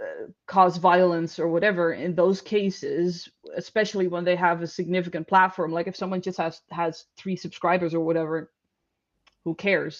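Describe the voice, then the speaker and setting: A woman speaks in a fairly low pitch with a Dutch accent. Her intonation is flat and monotone. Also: moderate pace. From Netherlands. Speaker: panel guest. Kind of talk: casual discussion.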